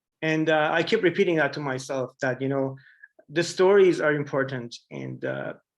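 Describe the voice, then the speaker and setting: A man with an Iranian accent, fairly high pitch, ordinary pitch variation and a moderate pace. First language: Farsi. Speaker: artist, printmaker. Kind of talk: artist talk Q&A.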